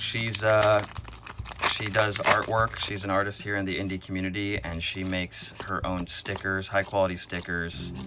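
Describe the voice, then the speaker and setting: The speaker keeps a moderate pace. Noticeable background noise runs underneath. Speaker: trading card unboxing YouTuber. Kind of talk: casual unboxing commentary.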